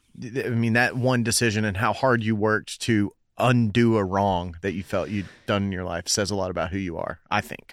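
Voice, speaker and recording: In a very clean recording with a silent background, a man talks in an ordinary speaking voice at a moderate pace, his fairly low pitch showing ordinary variation. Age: 30s. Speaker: podcast host. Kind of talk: casual interview chat.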